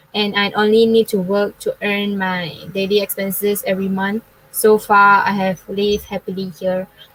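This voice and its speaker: A woman's medium-pitched voice in a Chinese accent, with monotone, flat intonation. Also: moderate pace, dry, close sound with no echo. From Malaysia, Klang, Selangor. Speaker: university student. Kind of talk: forum panel talk. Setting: online live forum.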